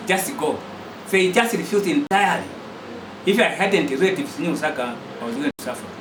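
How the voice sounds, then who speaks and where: Amid noticeable background noise and audible room echo, a man speaks at a high pitch with a Zambian accent. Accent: Zambian (Lozi) English. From Zambia, Western Province (Barotseland). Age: 60s. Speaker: retired teacher and college lecturer, independence activist. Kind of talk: interview testimony. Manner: formal.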